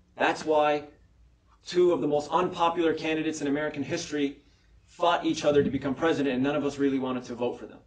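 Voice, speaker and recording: A man with an ordinary speaking voice talks at a fairly quick pace, his pitch fairly high and his intonation fairly even. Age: young. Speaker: political candidate. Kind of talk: candidate forum closing statement.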